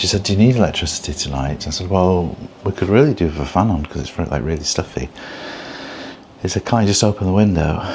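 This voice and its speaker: Quiet and very deep in pitch, a man talks at a very fast pace with lively intonation. Noticeable background noise runs underneath. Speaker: travel vlogger. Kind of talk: casual vlog talk to camera. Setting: hotel room. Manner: quiet, hushed; halting, many fillers.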